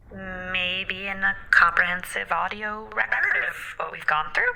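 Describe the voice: Using a put-on character voice, a woman speaks at a fairly slow pace with lively intonation, vocal fry and a bright, sharp tone. Room echo is audible. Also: medium pitch for a woman.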